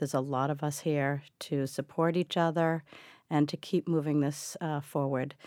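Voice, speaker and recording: In an American accent, a woman with a very deep, low pitch speaks at a moderate pace in a monotone, flat intonation on a very clean recording with a silent background. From Massachusetts, US. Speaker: caregiver and advocate. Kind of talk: interview.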